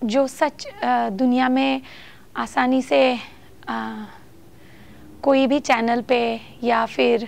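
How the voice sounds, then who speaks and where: A woman speaks with a non-native accent in a dry sound with no echo. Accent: non-native Hindi. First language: not Hindi (speaking Hindi). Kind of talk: talk to camera; casual talk to camera. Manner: halting, many fillers. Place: home room.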